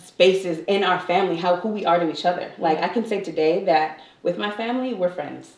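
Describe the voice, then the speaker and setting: Speaking at a fairly quick pace, a woman with an American accent has a fairly low voice, and noticeable background noise runs underneath. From California, San Fernando Valley. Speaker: actress. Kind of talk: casual chat.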